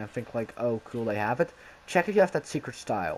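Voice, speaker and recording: A man with a normal speaking voice, medium-pitched, with lively intonation. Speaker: gaming youtuber. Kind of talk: casual gameplay commentary.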